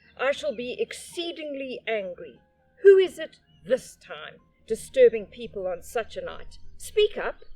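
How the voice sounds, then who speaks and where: A gruff, put-on character voice moves at a fairly slow pace over music in the background. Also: woman. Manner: irritated, stern.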